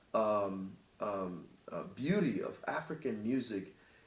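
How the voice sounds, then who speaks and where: There is audible room echo around a man as he speaks. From Cameroon. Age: 30s. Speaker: singer-songwriter. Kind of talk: interview. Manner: halting, many fillers and repetitions.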